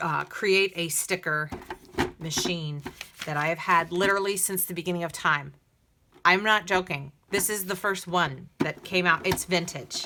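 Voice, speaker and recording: A woman speaks at a moderate pace in a fairly low pitch. Her intonation stays fairly even. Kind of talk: tutorial. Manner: casual, with many fillers; talking low.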